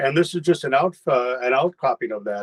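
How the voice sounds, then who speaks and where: With ordinary pitch variation, the voice comes across in a dry, close sound with no echo. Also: man. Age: 60s. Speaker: retired banker, rope flow practitioner. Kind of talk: interview. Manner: halting, many restarts.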